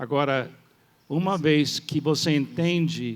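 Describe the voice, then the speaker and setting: A man's fairly high voice at a very slow pace, with fairly even intonation. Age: 70s. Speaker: pastor. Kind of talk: church panel talk. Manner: halting.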